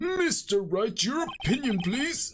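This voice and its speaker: In a put-on character voice, the speaker goes at a fairly slow pace with a fairly high pitch and very wide pitch swings. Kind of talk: courtroom speech. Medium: virtual streamer.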